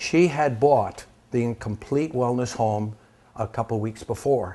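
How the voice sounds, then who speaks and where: Breath is somewhat audible in the voice. The tone comes across dark and mellow. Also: man. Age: 70s. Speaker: wellness product distributor. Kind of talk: testimony. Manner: emotional, animated.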